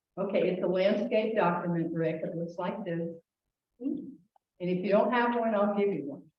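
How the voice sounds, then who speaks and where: With long, frequent pauses, a woman of medium pitch speaks with ordinary pitch variation in a room with audible echo. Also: moderate pace. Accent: American. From northern US. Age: 70s. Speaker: consumer advocate. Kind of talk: informal talk. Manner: animated.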